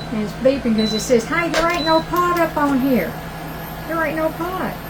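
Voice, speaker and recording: A loud, high-pitched woman with a Southern US accent, with audible room echo and noticeable background noise. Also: lively intonation, moderate pace. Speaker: cooking channel host. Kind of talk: cooking tutorial. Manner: animated.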